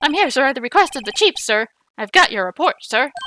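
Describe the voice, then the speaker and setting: A woman's put-on character voice at a very fast pace, in a dry, close sound with no echo. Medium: game stream. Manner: nervous, stammering, ends every phrase with "sir".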